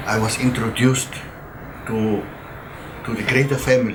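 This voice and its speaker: A man speaking at a fairly slow pace, with audible room echo and noticeable background noise. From South Africa, Cape Town area. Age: 80s+. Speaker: elderly interviewee. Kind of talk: interview testimony. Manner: halting.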